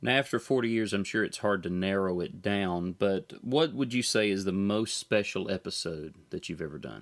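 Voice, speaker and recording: An ordinary speaking voice from a man, fairly low in pitch with ordinary pitch variation. He goes at a moderate pace with hardly any pauses on a very clean recording with a silent background. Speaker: podcast host and gospel musician. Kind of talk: interview.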